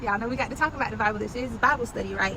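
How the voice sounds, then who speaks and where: There is noticeable background noise and audible room echo as a woman speaks at a very fast pace. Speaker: Bible study teacher. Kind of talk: Bible study. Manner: animated.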